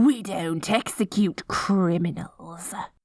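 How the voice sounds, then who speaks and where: A female-sounding put-on character voice speaks at a very slow pace with a fairly low pitch. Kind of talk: audio roleplay. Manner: silly, playful.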